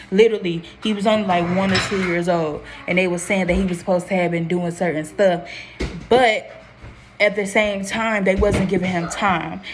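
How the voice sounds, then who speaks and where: A woman speaks at a medium pitch with music in the background. Audible room echo surrounds her voice. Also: fairly even intonation. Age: 20s. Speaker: vlogger, young mother. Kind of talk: casual vlog talk to camera. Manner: fast; rambling with self-corrections.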